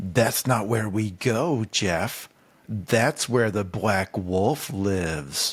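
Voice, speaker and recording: Using a put-on character voice, a man speaks at a very slow pace with a fairly low pitch. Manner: menacing, sinister.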